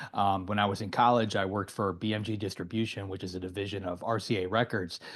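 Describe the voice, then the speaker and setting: The speaker has an American accent and talks at a very fast pace in a monotone, flat intonation. The background is quiet. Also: man, fairly low pitch for a man. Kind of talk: interview.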